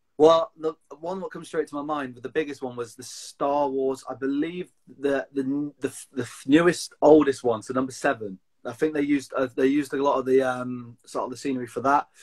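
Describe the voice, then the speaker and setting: A man with a Cumbrian accent talks at a fairly quick pace with fairly even intonation. His loudness swings widely against a quiet background. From Lake District, England; England. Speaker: outdoor enthusiast; interview guest. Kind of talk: casual chat. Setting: video call. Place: home room. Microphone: video call.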